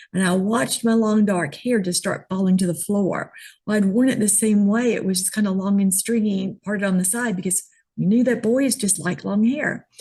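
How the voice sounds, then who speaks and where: A woman with a medium-pitched, somewhat breathy voice and a dark, mellow tone talks at a moderate pace with ordinary pitch variation. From New York City, then Georgia from late teens. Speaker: image consultant. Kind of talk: interview.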